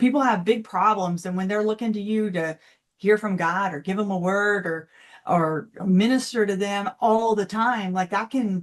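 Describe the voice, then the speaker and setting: Against a quiet background, a woman speaks at a moderate pace. She has a medium pitch and a Texan accent. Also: ordinary pitch variation. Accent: Texan American. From Texas. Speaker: financial coach. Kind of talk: interview.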